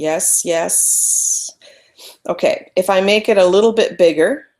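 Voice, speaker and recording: A woman at a fairly slow pace, with big swings in loudness. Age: 50s. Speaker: photography webinar presenter. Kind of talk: live webinar presentation. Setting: online webinar broadcast.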